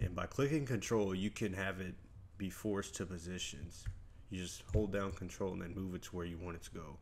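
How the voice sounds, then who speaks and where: The man's pitch is very deep and low. He speaks at a fairly quick pace with ordinary pitch variation. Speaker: video editing tutorial youtuber. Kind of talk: tutorial. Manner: fast; casual, energetic.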